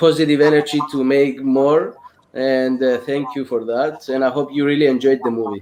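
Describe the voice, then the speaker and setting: This man has a medium pitch and a Greek accent. He talks at a moderate pace with monotone, flat intonation. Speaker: film director. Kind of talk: casual chat.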